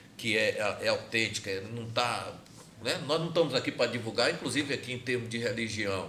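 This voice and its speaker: Over noticeable background noise and audible room echo, a man talks at a fairly quick pace in a medium pitch with ordinary pitch variation. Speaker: podcast host. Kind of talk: casual chat.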